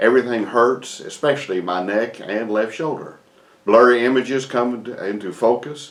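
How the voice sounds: Natural voice reading aloud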